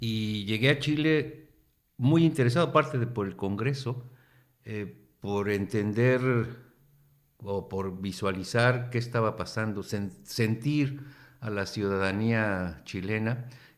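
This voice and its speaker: Very slowly, a man with a Mexican accent speaks at medium pitch with ordinary pitch variation. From Mexico. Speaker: professor. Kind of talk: radio interview.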